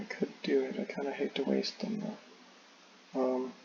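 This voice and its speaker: A man speaks at a moderate pace with a fairly high pitch. Noticeable background noise runs underneath. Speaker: board game designer. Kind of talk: tutorial playthrough. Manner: casual, halting with fillers.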